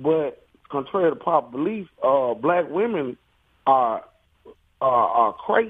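A man with a fairly high pitch speaks at a fairly slow pace with long, frequent pauses, his pitch swinging very widely while his loudness stays very even. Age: 40s. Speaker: caller. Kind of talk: radio call-in.

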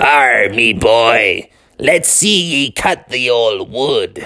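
A man puts on a raspy character voice at medium pitch. He speaks at a very slow pace.

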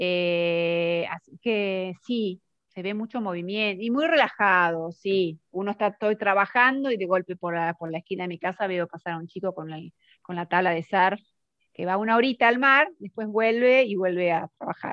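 A woman speaks at a moderate pace with an Argentine accent. Her pitch sits in the middle range and rises and falls in an ordinary way. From Argentina, Mar del Plata. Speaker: language teacher. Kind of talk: casual chat.

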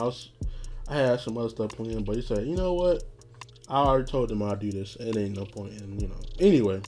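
Speech runs at a very fast pace. Music sits in the background. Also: man. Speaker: podcast host. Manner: monotone.

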